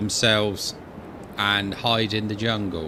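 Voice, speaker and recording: A man speaks with a fairly low pitch. Noticeable background noise is present. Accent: West Country. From Wiltshire, England. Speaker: gaming streamer. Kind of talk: casual gameplay commentary. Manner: casual and chatty.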